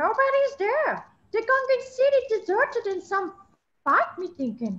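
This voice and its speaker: Putting on a squeaky character voice, a woman speaks at a moderate pace, her extremely high pitch swinging very widely. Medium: stage play. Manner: broken Gungan pidgin speech.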